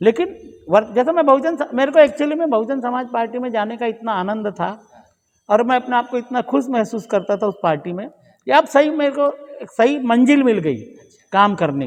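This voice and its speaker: Talking at a moderate pace, a man uses an extremely high pitch, and his loudness swings widely. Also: lively intonation. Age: 60s. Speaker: lawyer and political activist. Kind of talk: podcast interview.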